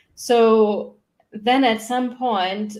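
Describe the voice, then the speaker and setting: A woman with a German accent speaks at a fairly high pitch with fairly even intonation. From Germany. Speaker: human design mentor. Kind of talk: podcast interview.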